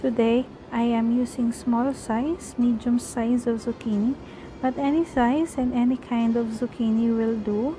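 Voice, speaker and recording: A woman speaks at a fairly slow pace in a high voice with fairly even intonation. Noticeable background noise runs behind her. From Philippines. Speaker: cooking vlogger. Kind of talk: cooking tutorial.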